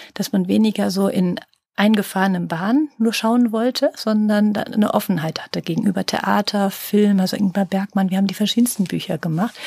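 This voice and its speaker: A woman's somewhat breathy, dark, mellow voice at a medium pitch, fairly quick in pace, with ordinary pitch variation and a dry, close sound with no echo. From Rhineland, Germany (Langenfeld). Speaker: publisher. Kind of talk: interview.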